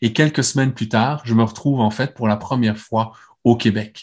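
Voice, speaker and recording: The man's voice has a somewhat breathy quality. Nothing much is heard behind it, as the background is quiet. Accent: Belgian. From Belgium. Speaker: neuroscience speaker and clinician. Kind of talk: conference talk with Q&A.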